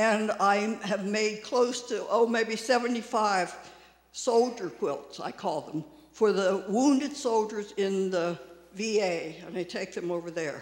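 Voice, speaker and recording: A man with an American accent, high-pitched for a man, speaking fairly slowly with ordinary pitch variation amid audible room echo. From US, Maryland (Frederick). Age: 80s. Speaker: quilter. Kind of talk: speech to congregation. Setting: church service.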